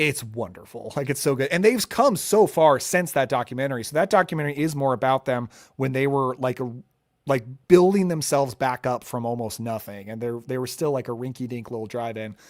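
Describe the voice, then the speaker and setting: A plain, everyday voice from a man, medium in pitch with ordinary pitch variation, at a fairly quick pace. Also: very clean recording, silent background. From US Midwest, Missouri (born in Oregon, moved at eight). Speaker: YouTube channel host, horror film reviewer. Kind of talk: live stream Q&A, casual chat. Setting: live stream on camera at home. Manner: casual, filler-heavy.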